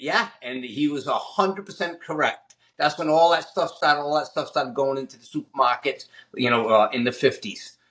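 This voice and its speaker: Speaking in a Boston accent at a fairly quick pace, a man with a fairly high pitch uses lively intonation and big swings in loudness. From Massachusetts, Fall River. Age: 60s. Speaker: chef and fitness trainer. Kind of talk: casual interview. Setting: home kitchen.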